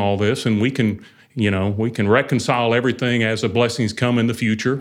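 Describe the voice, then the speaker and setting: A man with an unremarkable speaking voice talks at medium pitch with fairly even intonation. The recording is very clean and the background silent. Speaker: church overseer. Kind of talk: casual conversation about faith, interview.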